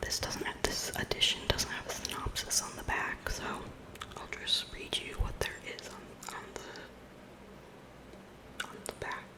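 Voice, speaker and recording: Someone is whispering at a moderate pace with long, frequent pauses, over noticeable background noise. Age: 20s. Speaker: ASMR creator. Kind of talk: ASMR book collection show-and-tell. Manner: whispered; soft-spoken.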